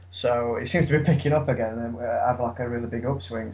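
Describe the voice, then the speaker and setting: With an English accent, a man speaks somewhat breathily at a medium pitch and fairly quick pace, with ordinary pitch variation and audible room echo. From England. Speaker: podcast co-host. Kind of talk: casual chat about a card game. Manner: halting, many fillers.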